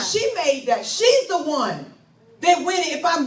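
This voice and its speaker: A woman speaks at an extremely high pitch and a moderate pace. Background noise is noticeable. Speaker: pastor, preacher. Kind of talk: sermon. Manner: impassioned, call-and-response.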